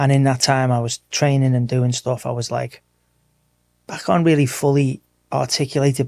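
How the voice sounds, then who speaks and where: A man speaks at a fairly quick pace in a dark, mellow tone. His intonation is flat and monotone, and the sound is dry and close with no echo. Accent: English. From Merseyside, England (Wirral, near Liverpool). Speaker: martial arts coach. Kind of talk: casual interview chat.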